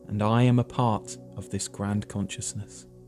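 A man's voice over music in the background. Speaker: meditation guide. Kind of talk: guided meditation.

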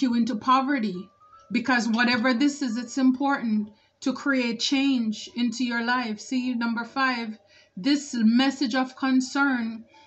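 Music plays behind a woman with a high pitch. She speaks at a fairly slow pace with fairly even intonation. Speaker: tarot reader. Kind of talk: tarot reading commentary. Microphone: phone near.

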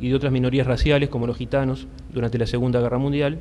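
Monotone, flat intonation with a dark, mellow tone at a fairly quick pace. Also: man. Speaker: speaker. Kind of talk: prepared talk at a public debate. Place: hall. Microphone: podium.

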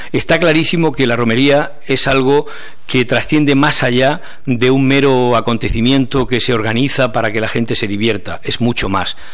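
Against a quiet background, a man with a medium pitch and ordinary pitch variation speaks at a moderate pace. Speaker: journalist, appointed festival proclaimer. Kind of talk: press conference speech. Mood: warm, humble, enthusiastic. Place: meeting room. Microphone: podium.

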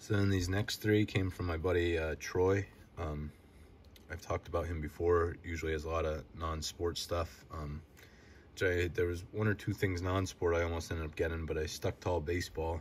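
Over light background noise, a man talks at a moderate pace in a very deep, low pitch, somewhat breathy and monotone, his intonation flat. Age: 30s. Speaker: sports card collecting youtuber. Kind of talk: casual solo video show-and-tell. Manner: halting, many filler words. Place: home room. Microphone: phone near.

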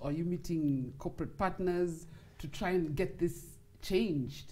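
Somewhat breathy and dark and mellow in tone, a woman speaks at a fairly slow pace with fairly low pitch and ordinary pitch variation. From Kenya. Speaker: sports talk show host. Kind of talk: interview. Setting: studio. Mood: cheerful, animated. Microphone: lapel.

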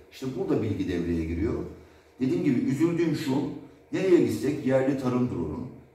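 In a dark, mellow tone with vocal fry, a man talks fairly quickly at a medium pitch amid audible room echo. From Turkey. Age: 40s. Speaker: drone developer. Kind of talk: product demo. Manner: casual. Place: workshop. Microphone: camera far.

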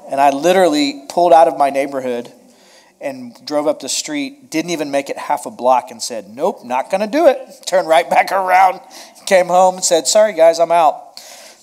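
A man at a moderate pace with big swings in loudness, over a quiet background. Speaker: pastor. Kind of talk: sermon opening, casual chat with congregation. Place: hall.

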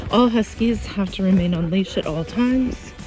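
A woman's voice at a fairly slow pace, with ordinary pitch variation, a dry sound with no echo, and clear music in the background. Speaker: travel vlogger. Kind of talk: casual vlog chat. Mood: excited, delighted. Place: open country. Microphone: phone near.

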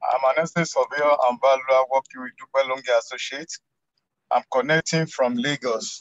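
A man speaks at a medium pitch and a moderate pace. His fairly even intonation comes through a dry, close sound with no echo.

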